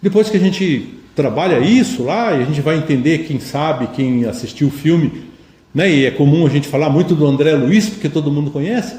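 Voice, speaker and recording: Audible room echo follows a man as he speaks at a moderate pace with lively intonation. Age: 60s. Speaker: spiritist lecturer. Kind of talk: lecture.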